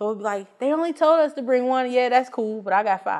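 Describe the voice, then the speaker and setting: Lively intonation in a plain, everyday voice, delivered at a moderate pace. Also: woman. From Chicago, South and West Side. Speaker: improv comedian. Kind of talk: interview.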